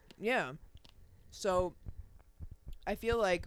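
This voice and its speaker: In an American accent, a woman talks. The background is silent, and the recording is very clean. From US Northeast (Long Island, New York). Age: young. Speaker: podcast host. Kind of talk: casual chat. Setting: home recording setup with handheld mics. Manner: fast.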